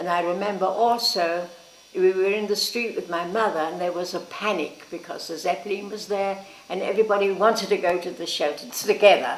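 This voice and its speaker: Audible room echo and noticeable background noise accompany a voice with fairly even intonation at a fairly quick pace. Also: woman, medium pitch for a woman. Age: 80s+. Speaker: elderly sister recounting family history. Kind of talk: casual reminiscing interview.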